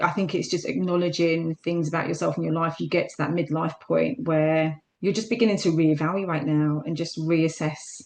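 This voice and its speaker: A woman with a fairly low-pitched voice speaks with fairly even intonation. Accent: South London. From South London. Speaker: fitness instructor. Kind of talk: interview.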